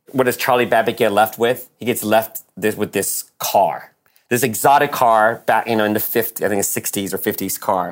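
With an ordinary speaking voice, a man talks at a moderate pace, his pitch fairly low and his intonation fairly even. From born in Taiwan, raised in US from age eight. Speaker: screenwriter and producer. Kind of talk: casual interview. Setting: video call.

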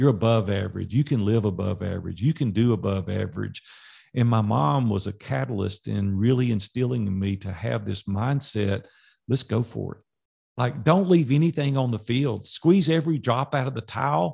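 A man with a medium pitch speaks at a moderate pace with lively intonation. His voice is somewhat breathy, and the background is quiet. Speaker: business coach. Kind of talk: interview. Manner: animated.

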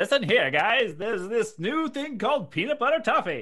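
A man's put-on character voice, raised and projected, extremely high-pitched, at a moderate pace. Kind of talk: vintage ad pitch. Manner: salesy, upbeat.

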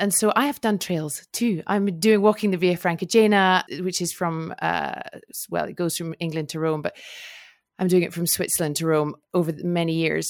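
On a very clean recording with a silent background, a woman has an ordinary speaking voice, fairly low in pitch with ordinary variation, at a moderate pace. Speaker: podcast host. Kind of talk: casual interview chat.

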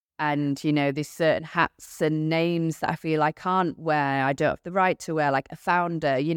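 In a very clean recording with a silent background and a dry, close sound with no echo, a woman talks fairly quickly at a fairly low pitch. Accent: British. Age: 30s. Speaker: business owner. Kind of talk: interview.

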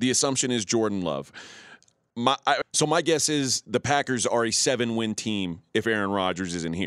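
With an American accent and a plain, everyday voice, a man talks at a moderate pace and medium pitch. His intonation is lively, and the sound is dry and close with no echo. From Texas (Houston). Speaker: sports betting radio host. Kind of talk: casual chat.

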